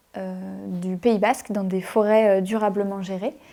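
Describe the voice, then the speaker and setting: Fairly slow speech from a woman with a dark, mellow tone. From western France, Anjou region. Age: 20s. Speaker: illustrator. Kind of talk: interview self-presentation. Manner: casual, many hesitations.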